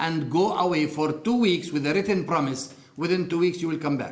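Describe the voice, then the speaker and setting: In a room with audible echo, a man with an Arabic accent talks at a fairly quick pace in a fairly high voice with ordinary pitch variation. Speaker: interviewee sharing life story. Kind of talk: testimony.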